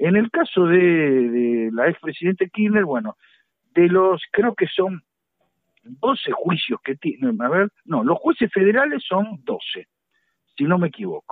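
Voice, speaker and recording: At a very slow pace, a man with a high pitch speaks with very wide pitch swings. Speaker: law professor and lawyer. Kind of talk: radio interview. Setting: remote connection.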